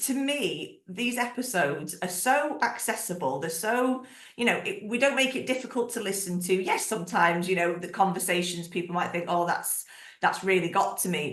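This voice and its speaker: Amid noticeable background noise and audible room echo, a woman with a Northern English accent sounds animated, her intonation lively. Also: medium pitch for a woman, moderate pace. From northern England. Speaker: podcast host. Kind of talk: casual interview chat.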